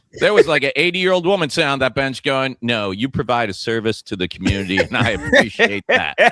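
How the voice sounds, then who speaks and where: Hardly pausing, a man rushes at a very fast pace with very wide pitch swings in a dry, close sound with no echo. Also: medium pitch for a man. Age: 40s. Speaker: comedian and podcast host. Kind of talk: casual chat. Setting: studio.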